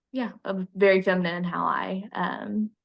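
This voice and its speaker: A woman speaks quietly at a fairly slow pace. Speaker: student interviewee, livestock showman. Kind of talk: interview. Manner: hesitant, many ums; quiet, reserved.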